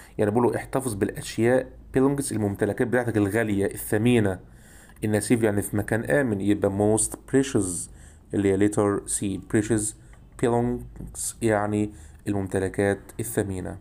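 With a dark, mellow tone and a fairly low pitch, a man speaks at a moderate pace. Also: ordinary pitch variation. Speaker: English teacher. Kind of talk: lecture.

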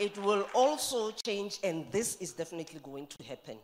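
A woman talks at a moderate speed while noticeable background noise runs underneath. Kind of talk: formal speech. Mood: warm, praising, upbeat. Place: hall. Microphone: podium.

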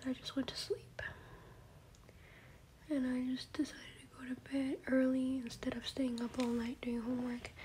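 Soft-spoken and high-pitched, a woman talks at a moderate pace with fairly even intonation over light background noise. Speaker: vlogger. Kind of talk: casual vlog chat. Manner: soft-spoken, hushed ASMR talk. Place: home room. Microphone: phone near.

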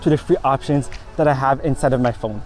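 Over faint background music, a man speaks very fast with ordinary pitch variation in a dry sound with no echo. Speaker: tech video creator. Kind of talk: tutorial. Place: beach.

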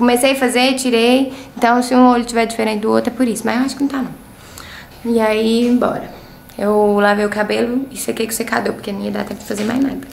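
A woman's fairly high, flat, monotone voice at a fairly quick pace, with noticeable background noise and audible room echo. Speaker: vlogger. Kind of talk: casual vlog.

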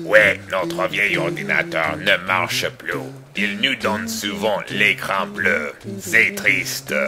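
With clear music in the background, a man uses a cartoonish character voice, fairly low in pitch and at a fairly slow pace. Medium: puppet show.

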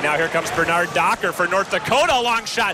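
Over noticeable background noise, a man talks at a fairly quick pace and high pitch, the sound dry with no echo. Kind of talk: live commentary. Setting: arena broadcast. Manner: excitable on goals. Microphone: headset.

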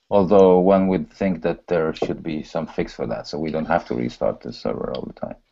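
With a Polish accent, a man with a very deep, low pitch talks at a moderate pace with ordinary pitch variation and hardly any pauses. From Poland, raised in Sweden from age 11. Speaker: software developer. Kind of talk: pair programming session. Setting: video call.

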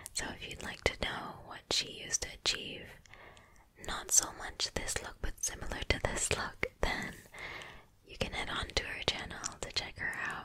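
A woman's soft-spoken whisper at a moderate pace, with big swings in loudness. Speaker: makeup video creator. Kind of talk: casual vlog chat. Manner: soft close-mic whisper. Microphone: studio mic.

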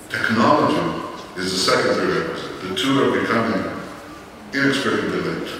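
A man talks at a fairly quick pace with ordinary pitch variation, his voice carrying strong room echo over light background noise. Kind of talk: keynote speech. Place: hall. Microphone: camera far.

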